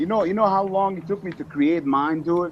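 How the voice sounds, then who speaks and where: At a fairly quick pace, the speaker talks with a non-native accent and ordinary pitch variation. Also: man. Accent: foreign. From Eastern Europe. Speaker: motovlogger. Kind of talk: casual chat.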